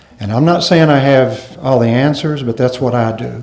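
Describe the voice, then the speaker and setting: At a moderate pace, a man talks amid noticeable background noise and audible room echo. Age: 60s. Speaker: conference speaker, professor. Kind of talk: conference Q&A answer. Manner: halting.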